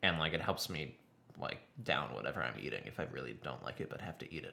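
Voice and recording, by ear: In a nasal, put-on character voice, a man rattles off his lines at a very fast pace with a very deep, low pitch.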